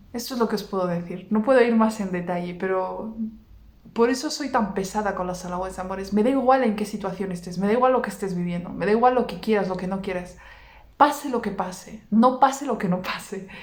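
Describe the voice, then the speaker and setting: Speaking at a fairly quick pace in an animated tone, a woman with a medium pitch and ordinary pitch variation is heard with audible room echo. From Basque Country, Vitoria. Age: 30s. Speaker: religious content creator. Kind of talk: personal testimony.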